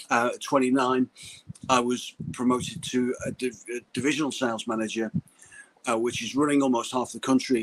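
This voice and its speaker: In a Liverpool accent, a man speaks at a fairly quick pace and medium pitch, the sound dry and close with no echo. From Liverpool, England. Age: 50s. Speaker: sales coach. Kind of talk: interview on live stream. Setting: live video call. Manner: halting, with frequent repetitions and restarts.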